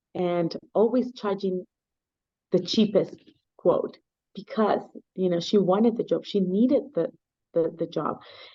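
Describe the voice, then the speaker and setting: The voice has a dark, mellow tone and ordinary pitch variation. It moves at a fairly slow pace with long, frequent pauses. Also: woman, medium pitch for a woman. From Mexico. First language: Spanish. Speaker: nonprofit foundation founder. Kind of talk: interview. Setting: video call.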